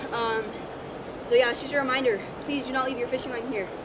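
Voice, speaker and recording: Noticeable background noise under a woman talking at a very fast pace. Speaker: fishing vlogger. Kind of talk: casual vlog chat. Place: waterside.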